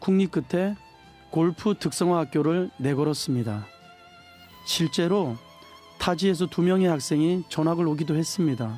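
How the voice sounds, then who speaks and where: Over music in the background, a man with a Gangwon accent speaks fairly slowly at a fairly high pitch, with ordinary pitch variation, very even loudness, and long, frequent pauses. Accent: Gangneung dialect. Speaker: schoolteacher. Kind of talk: reading a personal essay on radio. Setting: live radio studio broadcast.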